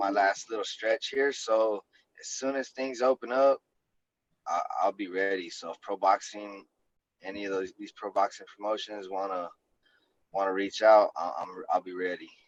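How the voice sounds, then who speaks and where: In an American accent, a man talks at a moderate pace with ordinary pitch variation and long, frequent pauses. His loudness swings widely, in a dry, close sound with no echo. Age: 30s. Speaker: MMA fighter. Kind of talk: casual chat.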